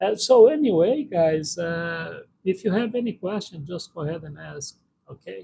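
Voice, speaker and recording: A high-voiced man with a Brazilian accent, a dark, mellow tone and lively intonation. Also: moderate pace. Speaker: live streamer. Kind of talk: casual live-stream Q&A. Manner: halting, many fillers.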